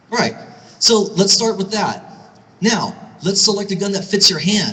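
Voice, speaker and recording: A man's raised, projected voice, high in pitch and at a fairly quick pace, over noticeable background noise. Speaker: gun store owner and speaker. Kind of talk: speech at a rally. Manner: fast.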